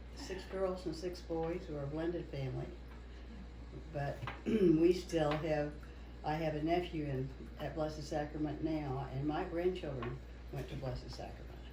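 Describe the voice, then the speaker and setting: A woman at a moderate pace, with long, frequent pauses, noticeable background noise and audible room echo. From US Midwest, Kansas (Wichita). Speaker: longtime parishioner. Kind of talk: oral history interview.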